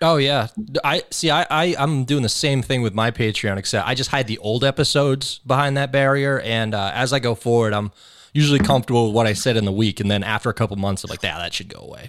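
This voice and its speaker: On a very clean recording with a silent background, a man speaks at a very fast pace, medium pitch and ordinary pitch variation. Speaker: podcast host. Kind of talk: casual banter. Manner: laid-back, joking.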